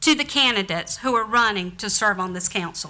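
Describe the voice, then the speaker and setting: A woman's bright, sharp tone with a Southern US accent. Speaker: town council member. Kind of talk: formal speech at a council meeting. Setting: council chamber at town hall.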